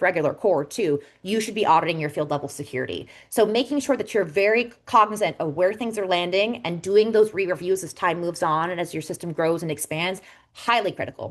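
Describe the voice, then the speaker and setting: Against a quiet background, a woman with a medium pitch talks at a very fast pace with lively intonation. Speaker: software architect. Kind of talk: webinar presentation.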